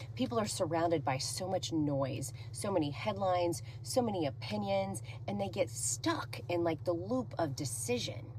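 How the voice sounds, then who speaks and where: A woman speaks at a moderate pace with a very deep, low pitch and lively intonation. Audible room echo surrounds her voice. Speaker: real estate agent. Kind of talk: talking-head monologue. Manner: loud; energetic.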